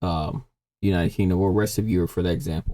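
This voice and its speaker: Very fast and very deep, a man speaks in a dark, mellow tone with vocal fry. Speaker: reaction youtuber. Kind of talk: casual commentary. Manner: halting.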